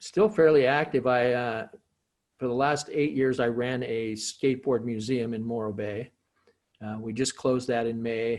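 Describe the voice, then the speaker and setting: In an unremarkable speaking voice, a man talks at medium pitch and a moderate pace with fairly even intonation. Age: 60s. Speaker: skateboarder. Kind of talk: casual interview.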